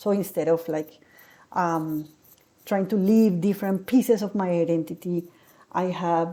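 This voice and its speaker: Pausing long and often, a woman talks at a fairly slow pace in a dark, mellow tone, her pitch fairly low and her intonation fairly even. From Colombia. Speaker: political science lecturer. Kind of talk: personal reflection.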